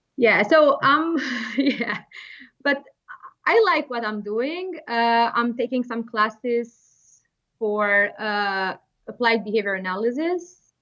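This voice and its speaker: A woman with an Albanian accent, fairly high in pitch, bright and sharp in tone, lively in intonation, very slow in pace, with long, frequent pauses. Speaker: behavior therapist. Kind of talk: interview. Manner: halting.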